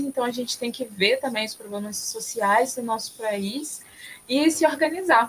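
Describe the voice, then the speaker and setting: A woman's fairly high voice, a plain, everyday voice, at a moderate pace with fairly even intonation. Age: 20s. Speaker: environmental engineer and climate activist. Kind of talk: podcast interview.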